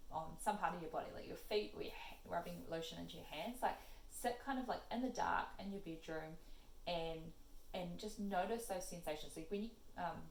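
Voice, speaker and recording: At a fairly quick pace, a woman speaks in a medium pitch with ordinary pitch variation, with audible room echo and noticeable background noise. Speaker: psychologist giving stress advice. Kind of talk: casual Q&A talk to camera. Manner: fast; halting, many fillers.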